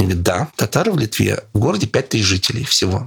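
A man's fairly quick, lively-intoned speech, dry and close with no echo, over noticeable background noise. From Russian Far East, Sakhalin. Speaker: journalist and lecturer, travel expert. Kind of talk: interview, casual travel storytelling.

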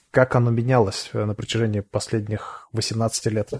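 A quiet man speaks in a calm tone at medium pitch. The sound is dry and close, with no echo. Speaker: podcast host, SEO expert. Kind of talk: interview. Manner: calm, quiet listener.

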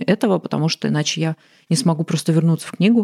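Her voice dark and mellow, a woman speaks at a fairly low pitch with ordinary pitch variation, recorded dry and close with no echo. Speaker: writer and poet. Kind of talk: casual interview conversation.

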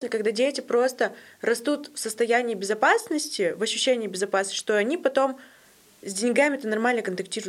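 A woman talks at a moderate pace in an ordinary speaking voice, with ordinary pitch variation. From Russia, Yekaterinburg. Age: 20s. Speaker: podcast host. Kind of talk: casual interview.

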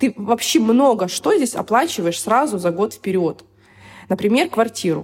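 In a normal speaking voice, a woman talks at a moderate pace with a fairly high pitch, lively intonation and very even loudness. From Siberia, Irkutsk. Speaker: expat blogger, mother on maternity leave. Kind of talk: interview.

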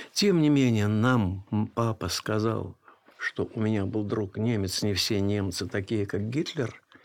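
Speaking at a very slow pace, a man with a fairly low pitch uses ordinary pitch variation. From Bessarabia (Moldova). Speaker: film historian. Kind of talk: interview.

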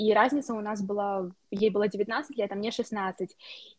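A woman talks at a fairly high pitch. Her intonation is fairly even. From Moldova. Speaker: university student. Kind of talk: interview.

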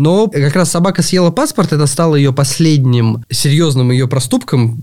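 The speaker is a man with a dark, mellow tone. His pace is moderate. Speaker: trail race organizer. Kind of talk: casual chat. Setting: studio. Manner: halting.

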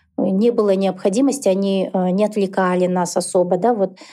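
A woman's medium-pitched voice, dark and mellow in tone, with fairly even intonation at a moderate pace over a quiet background. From Kazakhstan, Karaganda. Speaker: entrepreneur, founder of a dental clinic chain. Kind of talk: interview conversation.

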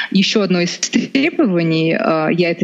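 A woman at medium pitch with a Russian accent. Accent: Russian accent in English, permanent. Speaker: lawyer. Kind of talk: interview conversation.

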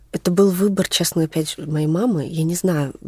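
With an unremarkable speaking voice, a woman talks at a fairly low pitch and a fairly slow pace with ordinary pitch variation, in a dry, close sound with no echo. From Moscow, Russia. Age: 20s. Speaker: fashion designer and stylist. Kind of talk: casual interview chat.

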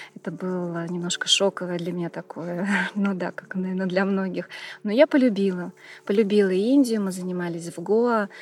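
Hers is an ordinary speaking voice, a woman's at medium pitch with ordinary pitch variation, moving at a moderate pace. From Tashkent, Uzbekistan. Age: 40s. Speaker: hatha yoga teacher. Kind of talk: interview about yoga tours.

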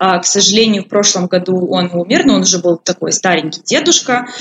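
Over noticeable background noise, a woman with a fairly low voice talks at a moderate pace. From Ukraine, Poltava region. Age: 20s. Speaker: expat office worker. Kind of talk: interview.

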